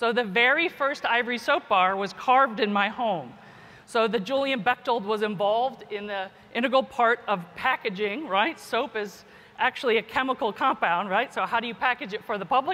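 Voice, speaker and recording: A fairly high-pitched woman with an American accent and ordinary pitch variation. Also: moderate pace. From US, Kentucky. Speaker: geneticist and professor; professor. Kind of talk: keynote speech. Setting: conference stage with audience. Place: hall.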